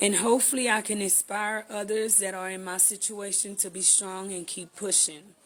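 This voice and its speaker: A woman with an American accent, medium in pitch, at a moderate pace. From Texas, Houston. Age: 30s. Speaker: vlogger. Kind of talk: channel introduction.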